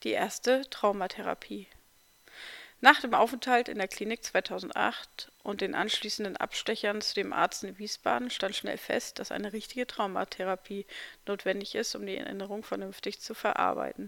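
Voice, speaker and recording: A woman talks at a moderate pace and medium pitch with ordinary pitch variation. Her tone is bright and sharp, with vocal fry and big swings in loudness. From eastern Germany, near Magdeburg. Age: 40s. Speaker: podcaster sharing life story. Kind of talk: personal memoir narration.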